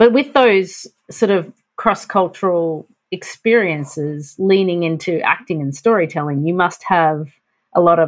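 A woman speaks with a plain, everyday voice. Her pitch sits fairly low and moves with ordinary variation. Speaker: podcast co-host. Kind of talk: interview conversation.

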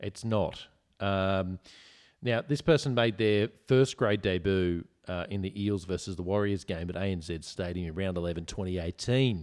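At a moderate pace, the speaker uses ordinary pitch variation with an Australian accent. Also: man, very deep, low pitch for a man. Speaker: podcast host. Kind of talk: casual drunken chat.

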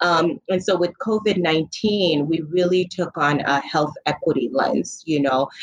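A woman with a plain, everyday voice talks at a fairly slow pace, her pitch fairly low and her intonation lively. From Niger, raised in Illinois. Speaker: public health director. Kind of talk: interview.

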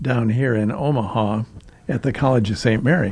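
Somewhat breathy and at a fairly slow pace, a man with a Midwestern American accent talks at a medium pitch with ordinary pitch variation. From US Midwest, rural Iowa. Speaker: retired English teacher and volunteer reader. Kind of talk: interview. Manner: halting, many fillers.

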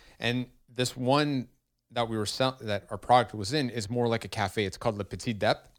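In a Montreal accent, a man speaks at a moderate pace and medium pitch on a very clean recording with a silent background. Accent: Montreal English (Canadian). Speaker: brewery co-founder. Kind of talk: casual chat.

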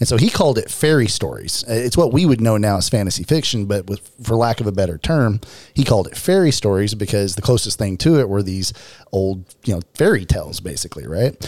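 Speaking very fast, a man with a Southern US accent uses lively intonation. His pitch is fairly low. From Arkansas, US South. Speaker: tabletop gaming podcast host. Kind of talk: casual banter.

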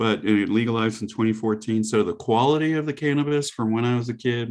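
A man talks at a moderate pace with ordinary pitch variation and an ordinary speaking voice. The recording is very clean, with a silent background. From US South. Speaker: psychedelic therapy practitioner and author. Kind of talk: casual interview chat. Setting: podcast interview.

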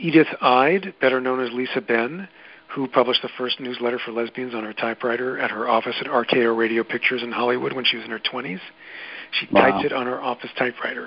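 Speaking at a very fast pace with an American accent, a man keeps a medium pitch and ordinary pitch variation against noticeable background noise. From New York City, Queens. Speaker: journalist and podcast producer. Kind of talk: interview.

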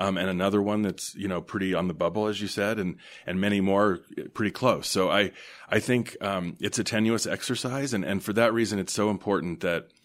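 A man speaks with an American accent in an unremarkable speaking voice, fairly low in pitch and fairly even in intonation. His pace is fairly quick, and the recording is very clean with a silent background. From US West, Denver, Colorado. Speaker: hospital association executive. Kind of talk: interview.

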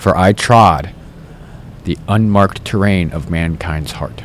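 A man speaks at a moderate pace in a fairly low pitch with ordinary pitch variation, over noticeable background noise. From upstate New York. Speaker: spiritual street activist. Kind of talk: casual interview; spoken-word poetry.

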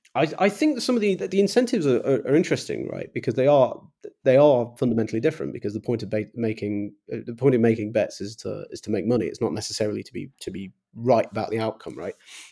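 A man with an English accent talks at a very fast pace, with big swings in loudness. The recording is very clean, with a silent background. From England. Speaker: think tank fellow and superforecaster. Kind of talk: casual chat. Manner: halting.

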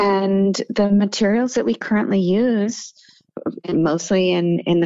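With an ordinary speaking voice, a woman talks at a medium pitch and a fairly slow pace, showing ordinary pitch variation. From moved around; born Seattle, also Massachusetts and Munich. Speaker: nonprofit chief executive and attorney. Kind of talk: radio interview.

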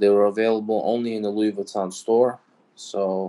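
A man's fairly low voice in a New York accent, with fairly even intonation. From New York City (Brooklyn, Queens). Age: 20s. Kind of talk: casual interview.

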